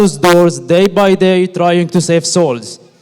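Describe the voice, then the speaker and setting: A high-pitched man speaks with an Arabic accent at a fairly slow pace. Noticeable background noise can be heard. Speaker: medical graduate. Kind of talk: graduation speech.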